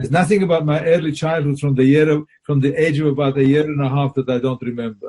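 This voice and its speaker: A man's somewhat breathy, dark and mellow voice, fairly high in pitch, at a very fast pace. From Poland. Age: 80s+. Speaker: Holocaust survivor. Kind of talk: interview answer.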